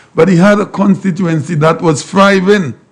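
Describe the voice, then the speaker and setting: This man's voice sits high in pitch. His pace is moderate. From Saint Lucia. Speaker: talk show host. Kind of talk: casual chat.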